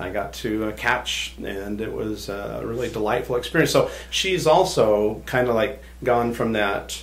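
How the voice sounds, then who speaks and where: With an American accent, a man talks at a fairly slow pace with hardly any pauses. The recording has audible room echo and noticeable background noise. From Southern California. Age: 60s. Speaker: hypnotist. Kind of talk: podcast interview.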